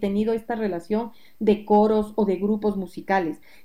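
A woman's dark, mellow tone, pitched fairly high, with fairly even intonation. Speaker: music educator and singing teacher. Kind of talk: interview.

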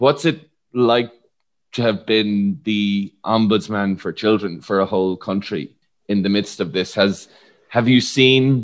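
Ordinary pitch variation in a man's fairly low voice, at a very slow pace. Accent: Irish. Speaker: podcast host and psychologist. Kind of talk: interview.

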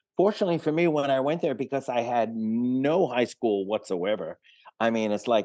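A man speaks with a New York accent and lively intonation. The background is quiet. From New York City, the Bronx. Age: 70s. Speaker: rock guitarist. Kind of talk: interview. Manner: halting.

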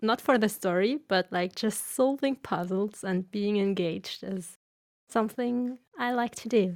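Using a plain, everyday voice, a woman speaks at a fairly high pitch and a fairly slow pace. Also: ordinary pitch variation, dry, close sound with no echo. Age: 20s. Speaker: gamer podcast guest. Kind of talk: casual chat.

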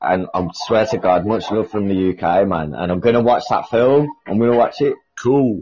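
Fairly low-pitched man with a British accent, ordinary pitch variation and moderate pace. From UK. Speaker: caller. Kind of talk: casual chat.

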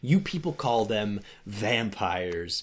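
His pitch is medium. The man is doing a put-on character voice. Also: fairly slow pace. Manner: chilling.

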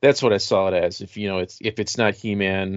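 A man talks in an American accent at a fairly low pitch. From Rochester, New York. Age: 40s. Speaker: podcast host. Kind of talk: casual chat.

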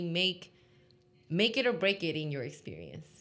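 A woman speaks in a plain, everyday voice at a moderate pace with ordinary pitch variation. The recording is very clean, with a silent background. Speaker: innovation consultant. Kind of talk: casual interview conversation.

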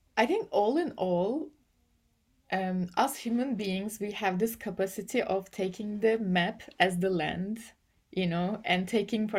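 A woman speaks at a medium pitch with a Turkish accent, keeping a fairly slow pace and fairly even intonation. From Turkey. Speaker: AI policy and ethics researcher. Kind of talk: interview. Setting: remote call. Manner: halting, many fillers.

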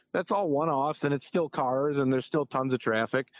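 A man's fairly high voice at a fairly quick pace, on a very clean recording with a silent background and a dry, close sound with no echo. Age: 30s. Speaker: small business co-founder. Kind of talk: interview. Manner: halting, many fillers.

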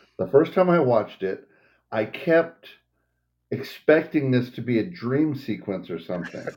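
Vocal fry marks a man's medium-pitched voice, which has very wide pitch swings and big swings in loudness. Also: moderate pace. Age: 50s. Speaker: podcast co-host. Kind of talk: casual chat.

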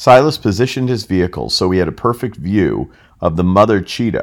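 Lively intonation and vocal fry mark this fairly quick American accent speaker on a very clean recording with a silent background. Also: man. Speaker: customer experience consultant. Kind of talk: scripted narration. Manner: formal.

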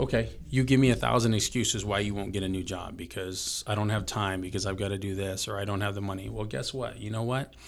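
This man speaks at a very fast pace with hardly any pauses, vocal fry and ordinary pitch variation. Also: fairly low pitch for a man. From Filipino heritage, grew up in a small US town. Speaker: gym owner and motivational coach. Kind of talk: casual chat. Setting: studio.

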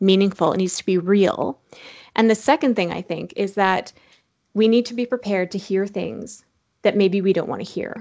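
A woman with an ordinary speaking voice talks at a moderate pace and medium pitch, with ordinary pitch variation over a quiet background. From Saskatchewan, Canada. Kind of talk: casual interview.

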